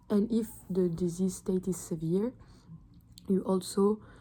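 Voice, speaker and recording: In a French accent, a woman speaks at a very slow pace, her medium-pitched voice dark and mellow in tone. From France. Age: 20s. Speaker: medical student. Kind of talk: study revision talk to camera. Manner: casual, hesitant.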